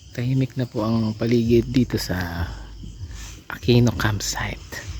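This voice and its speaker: A soft-spoken man at medium pitch and a fairly slow pace, with ordinary pitch variation and noticeable background noise. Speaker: family travel vlogger. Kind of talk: vlog narration. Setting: outdoors at campsite.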